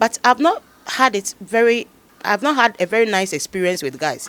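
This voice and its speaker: A woman speaks at a medium pitch and a moderate pace. The sound is dry and close, with no echo. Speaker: actress. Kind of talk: interview. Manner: loud.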